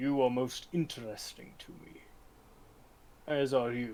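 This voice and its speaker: Spoken at a fairly slow pace in a put-on character voice. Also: man, medium pitch for a man, fairly even intonation. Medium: actual play. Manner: aloof, commanding.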